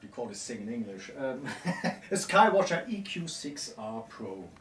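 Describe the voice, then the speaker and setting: A man with a German accent speaks at a fairly slow pace, with audible room echo and noticeable background noise. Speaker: mount repair technician. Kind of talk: casual interview in workshop. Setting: workshop.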